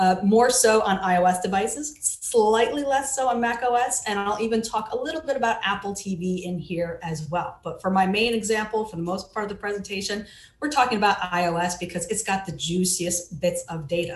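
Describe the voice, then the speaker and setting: With hardly any pauses, a woman talks at a fairly quick pace in a somewhat breathy, medium-pitched voice with ordinary pitch variation, and audible room echo surrounds her. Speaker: digital forensics researcher. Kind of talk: conference talk.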